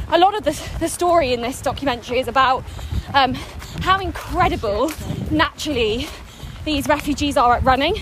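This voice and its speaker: Over noticeable background noise, a woman with a high voice talks at a fairly quick pace with lively intonation and long, frequent pauses. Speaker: podcast host and personal trainer. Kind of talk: casual interview while jogging. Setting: outdoors in a park.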